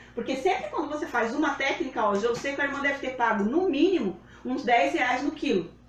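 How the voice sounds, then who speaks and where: A woman's high-pitched voice, fairly quick and with lively intonation, over noticeable background noise. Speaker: live demonstration host, home food storage. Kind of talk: live tutorial. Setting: livestream. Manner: fast.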